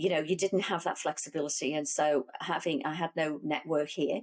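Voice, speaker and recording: A woman speaks with a very deep, low pitch and fairly even intonation. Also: very clean recording, silent background. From northern England, Liverpool. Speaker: logistics executive. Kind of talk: interview conversation. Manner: many fillers and restarts.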